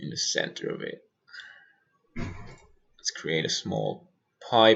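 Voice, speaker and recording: With music in the background, a man speaks at a very slow pace, with long, frequent pauses and big swings in loudness. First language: German. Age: 20s. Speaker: stagehand and lighting designer streamer. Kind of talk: livestream software tutorial. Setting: livestream.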